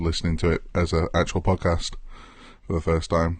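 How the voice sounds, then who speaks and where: Fairly quick and somewhat breathy, a man speaks in an English accent at a very deep, low pitch. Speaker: podcast co-host. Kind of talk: casual chat. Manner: long random pauses between words.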